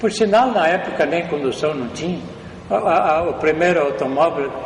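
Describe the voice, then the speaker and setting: Amid noticeable background noise and audible room echo, a man with a high pitch speaks at a moderate pace. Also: ordinary pitch variation. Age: 80s+. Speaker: elderly local resident recounting town history. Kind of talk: oral history interview. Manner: halting, with repetitions.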